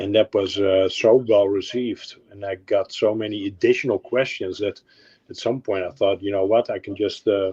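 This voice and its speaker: A man talks at a moderate pace with a Dutch accent. The sound is dry and close, with no echo. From Netherlands. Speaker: car model painter and video maker. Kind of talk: casual chat. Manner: halting, many fillers.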